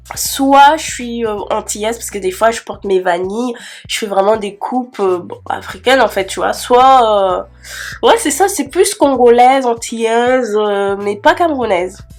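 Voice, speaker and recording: Her fairly high voice has an animated tone and lively intonation, moving at a fairly slow pace with big swings in loudness. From Cameroon. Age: 20s. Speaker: beauty youtuber. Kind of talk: casual Q&A vlog. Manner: chatty, animated; hesitant fillers.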